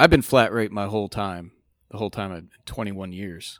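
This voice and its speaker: Against a silent background in a very clean recording, a man talks at a fairly low pitch with ordinary pitch variation. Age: 30s. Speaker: podcast host, mechanic. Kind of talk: casual chat.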